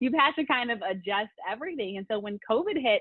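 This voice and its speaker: A woman with an American accent has a normal speaking voice. She talks at a fairly quick pace with lively intonation. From US Mid-Atlantic, Montgomery County, Maryland. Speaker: sports journalist. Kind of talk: interview.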